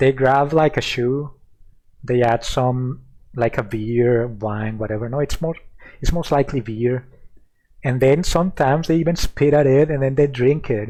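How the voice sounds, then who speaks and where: A man with a Mexican accent, dark and mellow in tone, at a moderate pace. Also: medium pitch for a man, ordinary pitch variation. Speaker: streamer. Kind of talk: casual chat. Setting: live stream.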